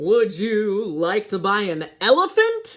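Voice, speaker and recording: A woman's put-on character voice at a medium pitch and fairly slow pace. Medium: read story.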